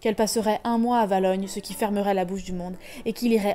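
The delivery is plain reading aloud with fairly even intonation.

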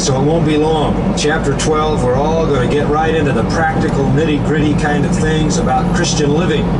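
Loud noise fills the background. Over it, a man talks at a moderate speed. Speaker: Bible teacher. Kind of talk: sermon.

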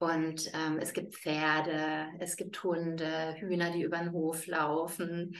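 This is a woman speaking. Her pitch is fairly low. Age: 40s. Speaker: yoga teacher. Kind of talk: interview. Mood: warm, smiling. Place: home room. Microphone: webcam.

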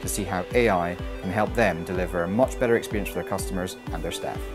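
A fairly quick pace with clear music in the background. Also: man. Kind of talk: interview answer. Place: bar.

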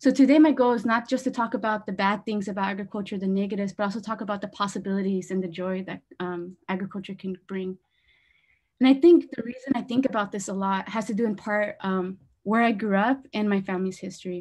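Somewhat breathy, very fast speech against a quiet background. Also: woman, ordinary pitch variation. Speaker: presenter. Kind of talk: lecture. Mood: warm, personal, slightly nervous. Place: home room. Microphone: video call.

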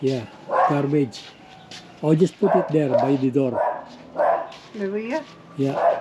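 Noticeable background noise sits under this clip. A man with a fairly high pitch speaks at a fairly slow pace with lively intonation. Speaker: vlogger. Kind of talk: casual cooking vlog. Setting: outdoors, backyard. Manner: halting, many fillers.

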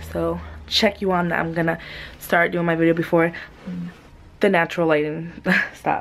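Her voice fairly low in pitch, a woman delivers her words in a monotone, flat intonation. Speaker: vlogger. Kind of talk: casual vlog chat. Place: home room. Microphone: phone near.

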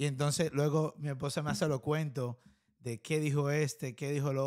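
In a quiet background, a man speaks at a moderate pace with fairly high pitch and fairly even intonation. He has an unremarkable speaking voice. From Dominican Republic. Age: 20s. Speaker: podcast host. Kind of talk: casual interview. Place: studio. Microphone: studio mic.

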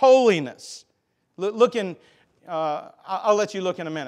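The background is quiet. A man speaks with a Southern US accent. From US South. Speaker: pastor; preacher. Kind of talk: sermon. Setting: church. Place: church.

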